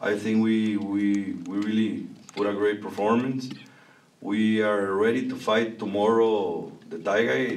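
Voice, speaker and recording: A man's fairly low voice in a Spanish accent, fairly slow and fairly even in intonation, with audible room echo. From Mexico. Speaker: boxing promoter. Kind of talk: press conference. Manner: halting.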